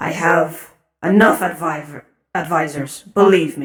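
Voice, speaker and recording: Put-on, raspy character voice at a middle pitch and fairly slow pace. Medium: read story. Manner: curt, authoritative.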